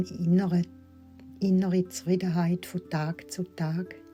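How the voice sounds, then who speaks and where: Background music accompanies a woman speaking at a very slow pace. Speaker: meditation guide. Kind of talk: guided affirmation recording. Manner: soft, slow.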